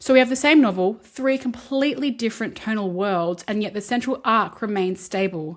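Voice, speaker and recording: Very clean recording, silent background. A woman with an Australian accent talks at a fairly quick pace with ordinary pitch variation. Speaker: film and literature video essayist. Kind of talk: video essay commentary. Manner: conversational.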